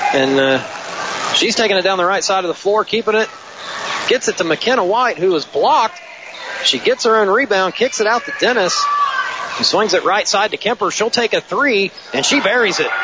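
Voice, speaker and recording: A high-voiced man speaks with lively intonation and a moderate pace, with noticeable background noise behind him. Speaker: play-by-play announcer. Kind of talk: live sports commentary. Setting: gym broadcast, courtside at the game.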